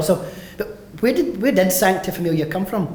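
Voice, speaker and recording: Recorded with audible room echo and noticeable background noise, a man is speaking. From west of Scotland, Mossend, Lanarkshire. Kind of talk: conference talk. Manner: fast.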